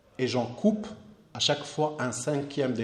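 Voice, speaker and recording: The speech moves at a fairly slow pace amid noticeable background noise and audible room echo. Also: man. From southern Morocco, Akka oasis near Algerian border. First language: Amazigh (Berber) (speaking French). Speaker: artist. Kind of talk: lecture. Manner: halting, frequent repetitions.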